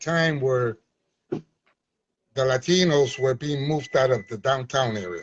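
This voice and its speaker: A man's somewhat breathy voice unfolds at a fairly slow pace. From Chicago, US (born Puerto Rico). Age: 70s. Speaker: community activist and former movement leader. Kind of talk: interview.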